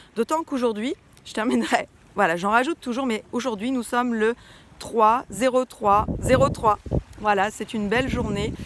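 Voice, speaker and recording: A woman's fairly high voice at a moderate pace, with ordinary pitch variation, big swings in loudness and noticeable background noise. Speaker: personal development coach. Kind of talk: casual talk to viewers. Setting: outdoors, walking. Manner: hesitant, many fillers.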